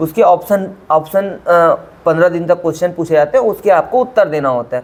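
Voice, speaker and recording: Here a man talks at a moderate pace. His pitch is high, with ordinary variation. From Chhattisgarh, India (Raigarh). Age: 30s. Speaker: quiz show contestant, government employee. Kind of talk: interview. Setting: sitting face to face.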